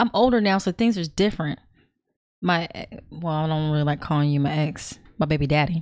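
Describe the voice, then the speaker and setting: Speaking with an American accent at a fairly quick pace, a woman with a very deep, low pitch shows ordinary pitch variation on a very clean recording with a silent background. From California. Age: 40s. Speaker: podcast guest. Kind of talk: casual chat.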